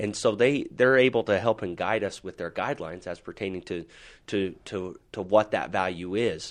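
This man has a fairly low pitch and ordinary pitch variation. He talks at a moderate pace against a quiet background. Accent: Utah. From Utah, Salt Lake City. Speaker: life insurance advisor. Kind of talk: interview on a finance podcast. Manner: halting, many fillers.

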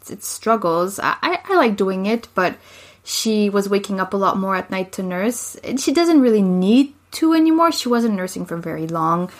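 A woman's medium-pitched voice in a French accent at a moderate pace. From Quebec, Montreal suburbs. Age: 20s. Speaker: podcast co-host. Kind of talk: casual chat.

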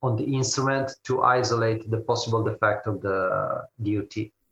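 A man speaks in a bright, sharp tone. His intonation stays fairly even. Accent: Italian. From Italy, Turin. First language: Italian. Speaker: engineering company manager. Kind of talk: interview.

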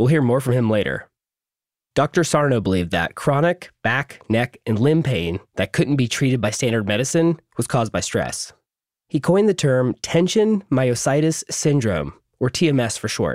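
Recorded very cleanly against a silent background, a man speaks at a moderate pace with very wide pitch swings, very even loudness, and a dry, close sound with no echo. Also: medium pitch for a man. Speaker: podcast host. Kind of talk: scripted narration.

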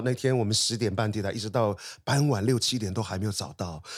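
A man with a plain, everyday voice, medium pitch, ordinary pitch variation and a fairly quick pace, on a very clean recording with a silent background. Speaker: artist. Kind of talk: interview.

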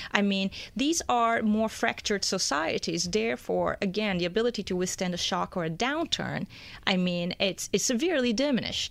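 A plain, everyday voice with lively intonation, a moderate pace and very even loudness. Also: woman, medium pitch for a woman. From born in Brazil, raised in US. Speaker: economics news editor. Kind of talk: studio interview. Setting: studio.

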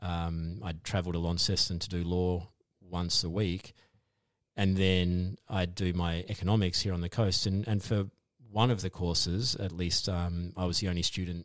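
Very clean recording with a silent background, a man's very deep, low voice with an Australian accent and flat, monotone intonation. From Tasmania, Australia. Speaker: economist and academic. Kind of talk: podcast interview.

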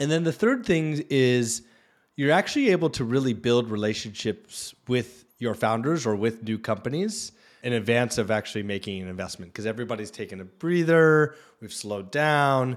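An unremarkable speaking voice comes from a man at a medium pitch and moderate pace. His intonation is lively, and the recording is very clean with a silent background. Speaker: venture capital investor. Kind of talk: casual interview chat.

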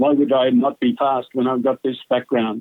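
A man with a broad New South Wales accent, fairly high pitch and fairly slow pace. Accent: Australian, broad rural New South Wales. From central western New South Wales, Australia. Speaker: retired sports commentator. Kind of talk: casual interview.

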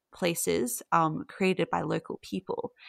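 In a very clean recording with a silent background and a dry, close sound with no echo, a woman speaks with an Australian accent. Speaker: mythology researcher. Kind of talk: interview conversation.

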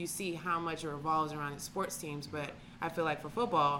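A woman with a very deep, low pitch and a bright, sharp tone speaks amid audible room echo. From Atlanta, Georgia. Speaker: podcast co-host. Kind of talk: casual chat.

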